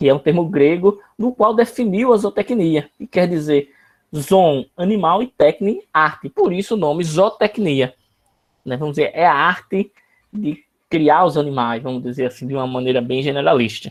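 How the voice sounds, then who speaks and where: A plain, everyday voice from a man with a fairly high pitch, at a moderate pace, in a dry, close sound with no echo. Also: lively intonation. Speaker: university lecturer. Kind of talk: online lecture.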